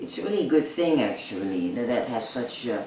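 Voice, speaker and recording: A man's medium-pitched voice with lively intonation at a moderate pace, noticeable background noise and audible room echo. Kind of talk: personal vlog. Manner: halting, many fillers.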